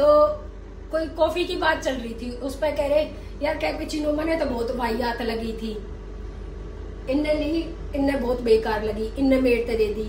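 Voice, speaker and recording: Amid noticeable background noise and audible room echo, a woman with a high pitch speaks fairly slowly. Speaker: vlogger. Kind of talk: casual chat. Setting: outdoors. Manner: animated.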